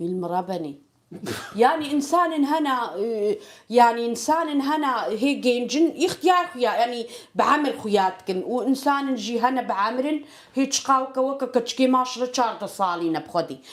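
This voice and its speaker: Her high voice moves with lively intonation as this woman talks at a very slow pace. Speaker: home cook, channel host. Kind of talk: casual chat while cooking. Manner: halting.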